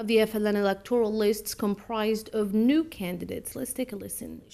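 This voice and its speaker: Fairly high pitch from a woman at a moderate pace, an ordinary speaking voice. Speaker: news anchor. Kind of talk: TV news anchoring.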